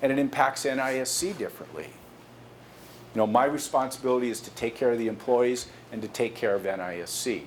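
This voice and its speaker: A man talks at a moderate pace with ordinary pitch variation, and some room echo can be heard. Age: 60s. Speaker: company executive giving a guest lecture to students. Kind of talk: lecture.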